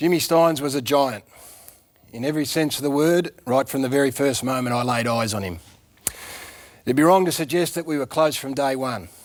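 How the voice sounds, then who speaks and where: With an Australian accent, a man speaks at a fairly quick pace in a fairly high pitch, leaving long, frequent pauses. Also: ordinary pitch variation. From country Victoria, Australia. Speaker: former footballer, TV presenter. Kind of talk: eulogy tribute on TV.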